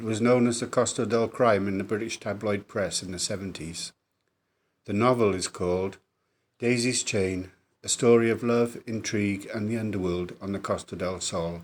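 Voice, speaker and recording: In a Welsh accent, a man talks at a moderate pace with a fairly low pitch. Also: fairly even intonation, very clean recording, silent background. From south Wales. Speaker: author. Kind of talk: podcast trailer introduction.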